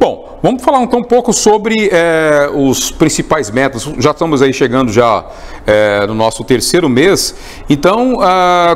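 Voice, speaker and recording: A man speaks with a high pitch and very wide pitch swings. His pace is fairly slow. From city of Goiás, Goiás, Brazil. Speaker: interviewer, news outlet host. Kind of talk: interview, conversational. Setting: studio. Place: studio. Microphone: lapel.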